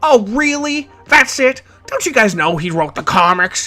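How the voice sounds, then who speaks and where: A put-on character voice, shrill and fairly high in pitch, is raised and projected with very wide pitch swings. It moves at a moderate pace over faint music in the background. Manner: yelling, indignant.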